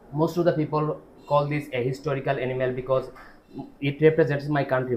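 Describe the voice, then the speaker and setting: The voice speaks in a flat monotone. It sounds somewhat breathy. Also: man. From Bangladesh. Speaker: IELTS test candidate, student. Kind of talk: speaking exam answer. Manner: halting, many self-corrections.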